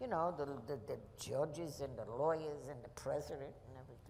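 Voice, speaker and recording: Speaking at a fairly quick pace with a New York accent, a woman with a very deep, low pitch comes through with audible room echo. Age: 80s+. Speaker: Armstrongs' longtime neighbor. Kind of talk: audience Q&A, reminiscing. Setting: festival stage with audience. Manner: halting, repetitive.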